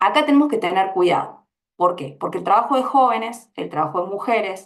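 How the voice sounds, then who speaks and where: Speaking with an Argentine accent, a woman at medium pitch uses lively intonation with vocal fry. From Argentina. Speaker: labor researcher, panelist. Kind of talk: panel discussion.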